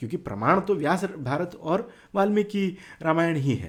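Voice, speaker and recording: The speaker talks with a Telangana accent and lively intonation. The background is quiet. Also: man. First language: Telugu (speaking Hindi). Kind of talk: casual talk to camera. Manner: halting, many fillers.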